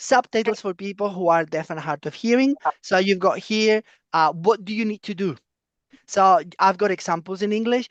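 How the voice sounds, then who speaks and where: The voice carries a Spanish accent. The background is quiet. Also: moderate pace. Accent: foreign, non-British (Spanish). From Spain. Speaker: professor. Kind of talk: lecture.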